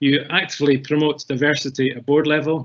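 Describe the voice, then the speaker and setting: This man has a Scottish accent and a fairly high pitch. He speaks at a moderate pace. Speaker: webinar moderator. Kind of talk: panel moderation.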